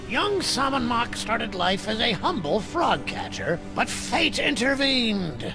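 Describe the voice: A man speaks in a cartoonish character voice at an extremely high pitch. Loud music plays behind him. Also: fairly slow pace.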